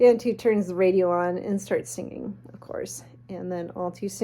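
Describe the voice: The clip consists of plain reading aloud.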